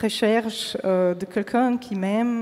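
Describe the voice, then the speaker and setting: Over noticeable background noise, a speaker with a slight Slovenian accent talks very slowly with fairly even intonation. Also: woman. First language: Slovene (speaking French). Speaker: pianist giving a faith testimony. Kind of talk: testimony. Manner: halting, many hesitations.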